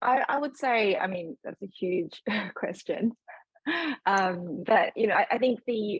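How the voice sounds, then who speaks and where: A somewhat breathy woman's voice with an Australian accent and ordinary pitch variation. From Australia, Sydney. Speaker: fund manager. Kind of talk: panel discussion. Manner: halting, many fillers.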